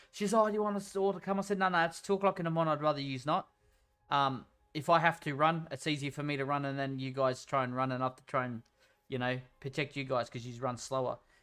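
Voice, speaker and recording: A man with an Australian accent, very fast delivery, fairly high pitch, ordinary pitch variation, a bright, sharp tone and a quiet background. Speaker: gaming streamer. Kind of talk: casual chat. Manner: halting.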